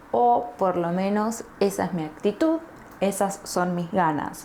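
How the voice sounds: With an Argentine accent, a woman speaks fairly slowly at medium pitch, in a slightly mellow tone with ordinary pitch variation.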